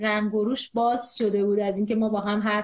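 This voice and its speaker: A woman's fairly high voice at a fairly quick pace. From Iran, Zanjan. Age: 20s. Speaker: epidemiologist and deaf-community activist. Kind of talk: interview. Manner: energetic.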